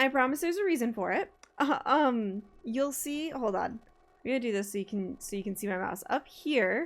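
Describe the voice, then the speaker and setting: A woman talks loudly at a high pitch, her voice making very wide pitch swings. Noticeable background noise runs under the recording. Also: moderate pace. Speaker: streamer. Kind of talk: casual chat. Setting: live stream at desk. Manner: animated.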